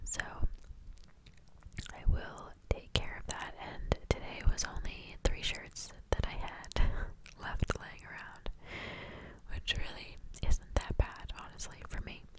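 Whispered at a very slow pace, the speech has long, frequent pauses and big swings in loudness over noticeable background noise. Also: woman. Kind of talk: ASMR voiceover.

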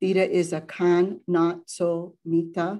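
Against a quiet background, a woman speaks in a fairly low pitch with a dark, mellow tone and flat, monotone intonation. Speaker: nonprofit advocacy coordinator hosting the event. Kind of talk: formal introduction. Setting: video call.

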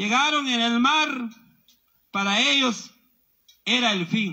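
A man's raised, projected voice, extremely high in pitch, with a bright, sharp tone and lively intonation. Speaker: protest emcee. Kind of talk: protest speech.

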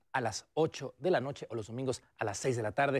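A man at a very fast pace, with a dry sound with no echo and a quiet background. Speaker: TV presenter. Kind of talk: theater recommendation segment to camera. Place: studio.

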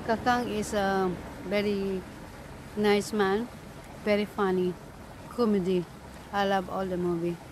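A woman talks at a fairly slow pace with a monotone, flat intonation and long, frequent pauses. Noticeable background noise sits under a dry sound with no echo. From Philippines. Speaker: vlogger. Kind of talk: casual vlog. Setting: outdoors. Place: garden. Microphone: phone near.

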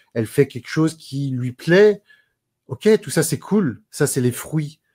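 Over a quiet background, a man speaks in a dark, mellow tone with lively intonation. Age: 30s. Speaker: personal development coach and speaker; personal development coach, speaker. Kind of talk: interview. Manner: animated. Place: home room. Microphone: earbuds.

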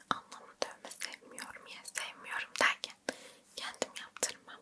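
A woman's whisper comes very slowly, with noticeable noise in the background. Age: 20s. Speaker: ASMR creator. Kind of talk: whispered chat about first tattoo experience. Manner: slow, whispering, soft.

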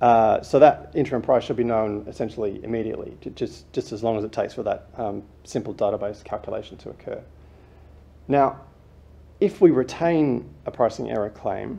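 A man at a moderate pace, with big swings in loudness. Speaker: presenter. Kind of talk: presentation talk. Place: hall. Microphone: lapel.

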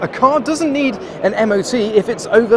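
A man talks at a fairly slow pace. The sound is dry with no echo, but there is noticeable background noise. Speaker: car vlogger. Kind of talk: casual vlog chat. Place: hall. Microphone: phone near.

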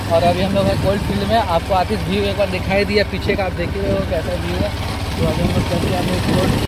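Speech at a moderate pace comes through loud background noise with a dry sound and no echo. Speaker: vlogger. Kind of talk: casual vlog chat. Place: open country. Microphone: phone near.

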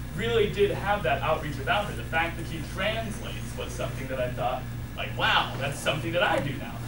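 A man delivers his words fairly quickly while noticeable background noise persists. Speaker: college student. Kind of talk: personal eulogy at a funeral, telling a family story about his late mother. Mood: grieving but warm storytelling. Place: hall. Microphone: camera far.

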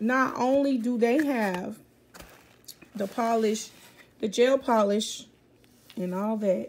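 With ordinary pitch variation, the woman talks at a fairly slow pace. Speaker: vlogger. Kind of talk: casual vlog chat. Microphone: phone near.

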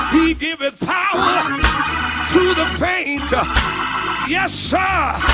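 A man talks while loud music fills the background. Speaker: preacher. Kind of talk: whooping sermon delivery, call and response with congregation. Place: church. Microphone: handheld.

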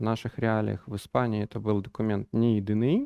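A man's voice, dry with no echo, over a quiet background. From Belarus, Minsk; Belarus. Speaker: business analysis lead and trainer; trainer. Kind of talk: conference talk. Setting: stage with audience. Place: hall. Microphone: headset.

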